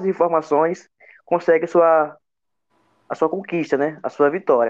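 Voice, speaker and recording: A man with a fairly high-pitched voice talks in front of a quiet background. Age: 20s. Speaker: futsal performance analyst. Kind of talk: podcast interview.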